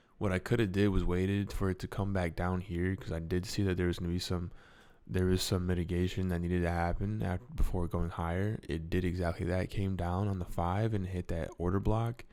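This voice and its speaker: A man speaks at a fairly quick pace in a very deep, low pitch with a dark, mellow tone. His intonation stays fairly even, and the recording is very clean with a silent background. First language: not English. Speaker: crypto trading youtuber. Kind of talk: trading tutorial.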